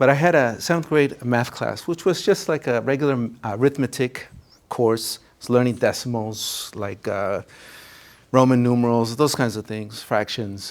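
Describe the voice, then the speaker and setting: A man with a Spanish accent speaks at a moderate pace and medium pitch with ordinary pitch variation, in a very clean recording with a silent background. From Minnesota, Minneapolis suburb. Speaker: college counselor. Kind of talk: presentation. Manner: conversational, with frequent fillers.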